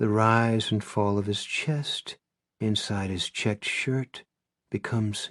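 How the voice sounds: It is quiet behind this natural reading voice.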